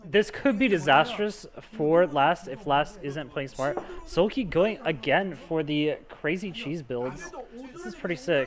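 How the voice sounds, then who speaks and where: Over noticeable background noise, a man with an American accent talks at a fairly slow pace. His pitch is high, and his intonation is lively. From US South. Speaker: esports caster. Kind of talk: live commentary. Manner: animated.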